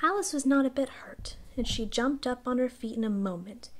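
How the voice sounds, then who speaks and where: Soft-spoken and high-pitched, a woman talks with lively intonation. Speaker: ASMR reader. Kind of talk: sleep story. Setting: binaural recording.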